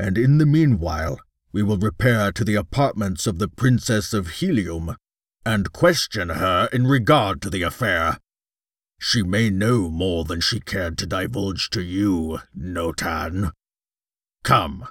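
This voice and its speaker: In a put-on character voice, a man speaks at a fairly low pitch and fairly slow pace with lively intonation. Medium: read story. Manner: imperious, commanding.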